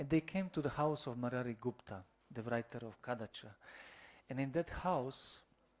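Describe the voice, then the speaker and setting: A man talks at a moderate pace with a Croatian accent. His pitch sits in the medium range, with ordinary pitch variation. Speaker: monk lecturer. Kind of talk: lecture. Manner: halting.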